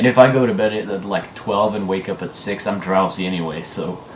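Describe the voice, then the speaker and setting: Noticeable background noise and audible room echo surround a man talking fairly quickly at a fairly low pitch with ordinary pitch variation. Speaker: gaming video host. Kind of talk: casual chat.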